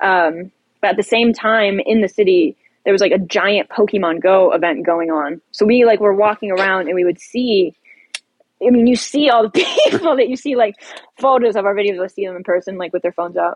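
A woman with an American accent uses a normal speaking voice at medium pitch with ordinary pitch variation. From Ohio, US Midwest. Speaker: social media poster. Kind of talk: casual chat.

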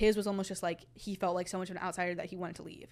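A woman in a Texas accent at a very fast pace. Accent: American (Texas). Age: young. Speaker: university student. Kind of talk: casual chat.

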